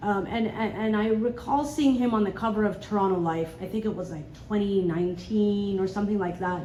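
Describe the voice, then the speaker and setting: Amid noticeable background noise and audible room echo, a woman at medium pitch speaks at a fairly quick pace with hardly any pauses and ordinary pitch variation. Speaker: audience member, journalist. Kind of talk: audience question. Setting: live event with audience. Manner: loud.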